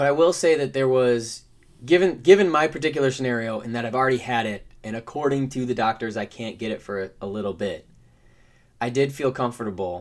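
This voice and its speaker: A man with a normal speaking voice and an American accent talks at a fairly quick pace, with medium pitch and ordinary pitch variation. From Michigan. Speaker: podcast co-host. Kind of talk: casual chat.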